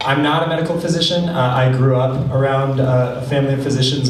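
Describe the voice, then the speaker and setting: A man talks at a medium pitch and a fairly quick pace. Audible room echo and noticeable background noise surround him. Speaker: tech startup founder and CEO. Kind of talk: conference panel talk. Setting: stage with audience. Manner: fast. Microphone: held far from the mouth.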